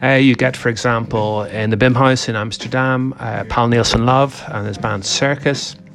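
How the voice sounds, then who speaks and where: Over noticeable background noise, a man talks at a medium pitch. His intonation is fairly even. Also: moderate pace. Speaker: jazz website editor. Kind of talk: radio DJ patter, breezy weekly jazz roundup. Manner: chatty, conversational; brisk, full of fillers and hesitations.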